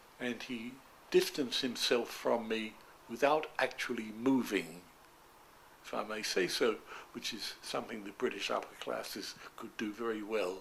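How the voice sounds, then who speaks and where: A medium-pitched man with a London accent talks at a moderate pace with fairly even intonation, big swings in loudness, and long, frequent pauses. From East End of London. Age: 90s; old. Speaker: retired doctor. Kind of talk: interview answer.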